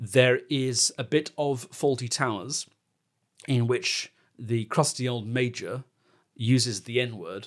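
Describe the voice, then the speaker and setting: In a very clean recording with a silent background, a man with an English accent speaks at a very slow pace and a medium pitch. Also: ordinary pitch variation. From England. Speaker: comedy podcast host. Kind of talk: casual chat.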